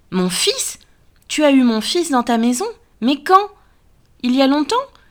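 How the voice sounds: A woman uses a put-on character voice, high-pitched and shaky. She goes at a moderate pace.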